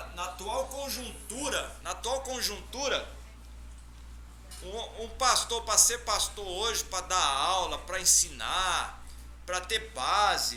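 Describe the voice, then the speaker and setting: Music plays in the background as a man talks at a very slow pace. Audible room echo surrounds his voice. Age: 60s. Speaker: theology teacher and pastor. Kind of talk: lecture. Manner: animated.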